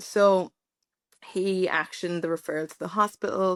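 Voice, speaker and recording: A woman with an Irish accent speaks at a moderate pace in monotone, flat intonation, with a dry, close sound with no echo on a very clean recording with a silent background. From Ireland. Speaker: podcast guest sharing pregnancy loss story. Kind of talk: personal testimony interview.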